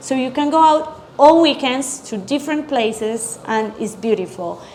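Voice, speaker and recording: A woman with a Colombian accent and a high pitch speaks at a moderate pace with ordinary pitch variation. Noticeable background noise is present. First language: Spanish. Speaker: chef and restaurant owner. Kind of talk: interview.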